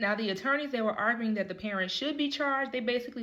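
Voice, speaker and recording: A woman speaks with ordinary pitch variation. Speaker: lawyer. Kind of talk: casual talk to camera. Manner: fast.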